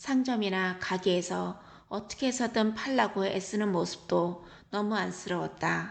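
Speaking fairly slowly, a woman uses a plain, everyday voice at a medium pitch with ordinary pitch variation. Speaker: travel vlogger. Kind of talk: travel diary narration. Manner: calm, reflective.

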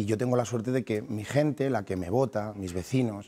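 At a moderate pace, a man with a dark, mellow tone speaks with ordinary pitch variation. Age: 30s. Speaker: mayor and politician. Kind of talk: TV interview. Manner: halting, with frequent repetitions.

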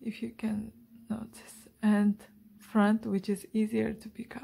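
Her slightly mellow tone touched with vocal fry, a woman speaks at medium pitch.

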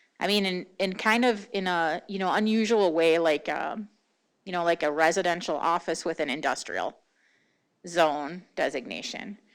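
At a moderate pace, a woman with a fairly low pitch speaks with ordinary pitch variation on a very clean recording with a silent background. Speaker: city planning staff. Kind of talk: public meeting presentation. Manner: hesitant, many fillers.

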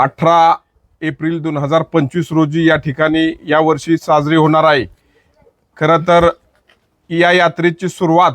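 Dry and close with no echo, a man's fairly high voice runs in a monotone, flat intonation. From Satara district, Maharashtra. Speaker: villager explaining a local festival. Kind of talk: informal spoken explanation.

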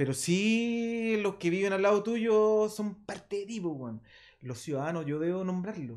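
Over a quiet background, a man with a Chilean accent speaks at a fairly slow pace with a high pitch and lively intonation. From Chile, Santiago (Maipú). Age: 50s. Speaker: rock drummer; guest. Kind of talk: casual interview. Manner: halting. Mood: relaxed, animated storytelling. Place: studio. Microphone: studio mic.

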